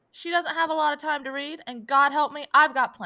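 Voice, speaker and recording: A woman's high-pitched, raised and projected voice, animated in tone and bright and sharp. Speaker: podcast host. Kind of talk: casual chat.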